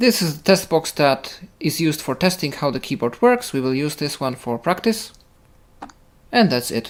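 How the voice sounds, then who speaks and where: Moderate pace with a Polish accent. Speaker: assistive technology podcast presenter. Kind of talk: tutorial.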